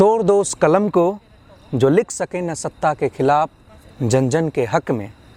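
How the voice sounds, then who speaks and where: Captured with a dry, close sound and no echo, a man with a fairly high pitch speaks with lively intonation. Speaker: poet; university student. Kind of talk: poetry reading. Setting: outdoors.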